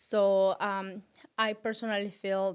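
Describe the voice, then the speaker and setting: A woman at a medium pitch with fairly even intonation, on a very clean recording with a silent background. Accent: non-native. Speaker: podcast co-host. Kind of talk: casual chat. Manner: halting.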